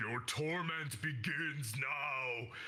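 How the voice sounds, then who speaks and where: In a put-on character voice, a man talks at a fairly high pitch, raspy, with audible echo. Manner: menacing.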